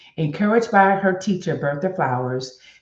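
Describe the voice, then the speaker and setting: Somewhat breathy and lively in intonation, a woman speaks with audible room echo. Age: 60s. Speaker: motivational web show host. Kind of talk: reading aloud; casual talk to viewers. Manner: halting.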